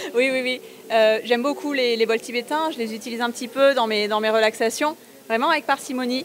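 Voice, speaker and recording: Against noticeable background noise, a woman in a high voice moves at a fairly quick pace with ordinary pitch variation, broken by long, frequent pauses. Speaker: energy healer and sound therapist. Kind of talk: interview. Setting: exhibition fair stand.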